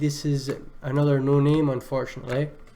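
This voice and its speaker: Speaking at a moderate pace, a man talks in a Scottish accent. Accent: Scottish, sometimes mistaken for Irish. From Scotland. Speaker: music producer reviewing beats on a livestream. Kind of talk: live stream beat review. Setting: live stream with chat. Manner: casual, many filler words.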